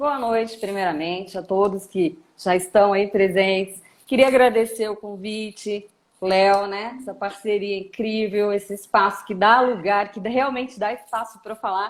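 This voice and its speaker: With a Brasília accent, a woman talks fairly slowly and with fairly even intonation. Her loudness swings widely. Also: medium pitch for a woman. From Brazil, Brasília. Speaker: lawyer. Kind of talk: live stream interview. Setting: live stream.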